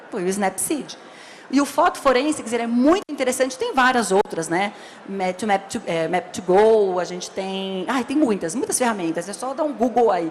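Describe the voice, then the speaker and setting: Over noticeable background noise, a woman speaks at a fairly high pitch. Her tone is animated, with very wide pitch swings. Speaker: labour court judge. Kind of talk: lecture. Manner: fast.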